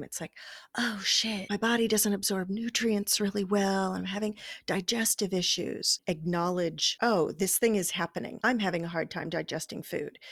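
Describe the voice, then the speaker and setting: A normal speaking voice from a woman at medium pitch and moderate pace, with ordinary pitch variation. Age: 50s. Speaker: wellness podcast co-host, healer. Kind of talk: casual chat. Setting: remote recording over the internet.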